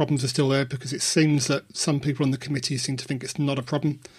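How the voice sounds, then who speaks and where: The recording is very clean, and the background is silent. In it, a man speaks with a somewhat breathy voice. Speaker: podcast host. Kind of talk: casual podcast chat.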